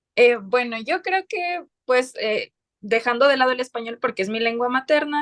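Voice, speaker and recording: A woman's high-pitched, lively voice at a moderate pace, dry and close with no echo. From southern Ecuador, Loja. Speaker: lawyer and writer. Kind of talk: interview.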